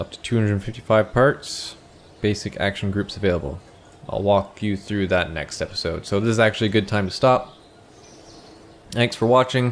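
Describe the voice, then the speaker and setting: At a moderate pace with long, frequent pauses, a man speaks in a fairly low pitch. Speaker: gaming youtuber. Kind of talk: gameplay tutorial commentary. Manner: monotone.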